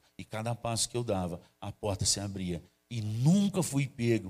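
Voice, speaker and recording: A man's plain, everyday voice at medium pitch, with ordinary pitch variation and a fairly slow pace. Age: 50s. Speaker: pastor. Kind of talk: sermon. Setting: church livestream.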